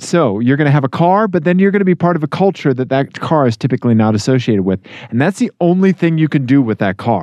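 Speaking at a very fast pace with hardly any pauses, a man uses a fairly high pitch with very wide swings, his loudness staying very even. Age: 40s. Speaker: podcast co-host. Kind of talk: casual chat.

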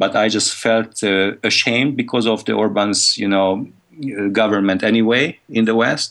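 A man's fairly low voice with a Hungarian accent, at a moderate pace, very even in loudness and fairly even in intonation. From Hungary. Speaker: conference organizer. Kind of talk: interview.

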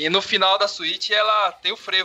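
Over music in the background, a man speaks in a raised, projected voice. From São Paulo, Brazil. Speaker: podcast co-host and euphonium player. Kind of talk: casual chat.

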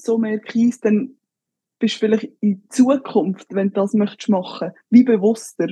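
A woman talks at a moderate pace with a fairly high pitch, a somewhat breathy, dark and mellow tone, and fairly even intonation. The sound is dry and close, with no echo. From Switzerland, Graubünden (Engadin). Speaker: professional football goalkeeper. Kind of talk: casual interview.

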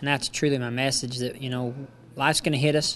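A man with an American accent and fairly even intonation, music in the background. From Utah. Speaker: motivational speaker and former rodeo rider. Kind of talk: interview. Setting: conference event.

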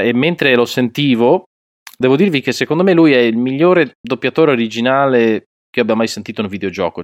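A man talks very fast with lively intonation. His voice sounds dry and close, with no echo. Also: very clean recording, silent background. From Piedmont, Italy (Alessandria). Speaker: voice actor. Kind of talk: casual interview.

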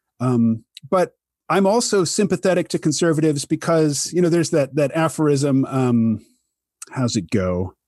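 A man in an American accent at a fairly high pitch, very wide pitch swings, very even loudness, moderate pace, dry, close sound with no echo, over a quiet background. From US Midwest, Kansas City, Missouri. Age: 50s. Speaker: podcast host, cartoonist and author. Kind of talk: casual interview chat. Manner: gentle and amiable.

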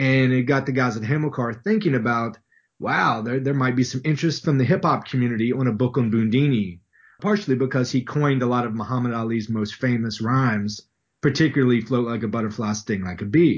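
Somewhat breathy, a man with an American accent moves at a fairly quick pace with ordinary pitch variation. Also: medium pitch for a man. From West Virginia. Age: 30s. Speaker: professor. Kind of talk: interview. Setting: video call.

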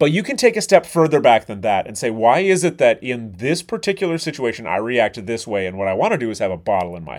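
A man's voice moves through very wide pitch swings on a very clean recording with a silent background. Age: 40s. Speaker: chef and podcast host. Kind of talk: solo podcast monologue.

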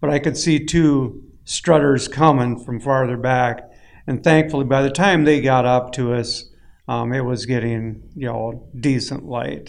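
Speaking at a fairly slow pace with fairly even intonation, this voice has an Upper Midwest accent. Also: man, medium pitch for a man. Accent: Upper Midwest American. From northern Minnesota. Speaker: outdoor magazine editor. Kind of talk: roundtable chat. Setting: hunting camp.

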